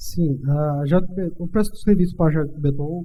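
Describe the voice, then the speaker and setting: Dark and mellow in tone, a man's voice moves at a fairly slow pace with ordinary pitch variation. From Brazilian Northeast. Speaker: civil engineer. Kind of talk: interview. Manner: halting, many fillers.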